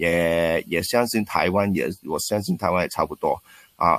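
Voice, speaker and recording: A man with a Cantonese accent speaks at a very deep, low pitch in a very clean recording with a silent background. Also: dry, close sound with no echo. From Hong Kong. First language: Cantonese (speaking Chinese). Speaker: basketball coach and former special-education PE teacher. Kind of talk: interview. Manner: halting with frequent word repetitions.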